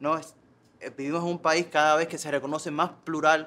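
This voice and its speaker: An unremarkable speaking voice belongs to this man. He talks at a fairly quick pace and a fairly high pitch. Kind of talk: meeting speech.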